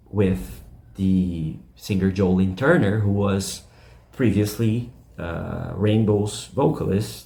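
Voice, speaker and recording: Very slowly, a man with a very deep, low pitch talks amid audible room echo. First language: not English. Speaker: YouTube rock music channel host. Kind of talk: casual video commentary. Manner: halting, many fillers.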